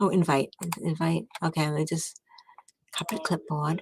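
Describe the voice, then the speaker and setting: A woman talks at a moderate pace and sounds somewhat breathy. The sound is dry and close, with no echo. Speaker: livestreamer. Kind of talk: casual chat. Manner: soft-spoken; quiet to avoid waking others.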